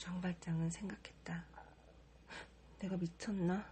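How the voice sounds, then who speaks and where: A woman talks at a very slow pace. She is soft-spoken. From Korea. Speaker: model. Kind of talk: audiobook reading.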